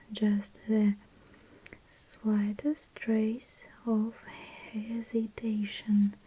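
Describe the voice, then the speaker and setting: A soft-spoken woman whispering in a Russian accent. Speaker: ASMR creator. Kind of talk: ASMR book reading, soft-spoken. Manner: soft, whispering, relaxing.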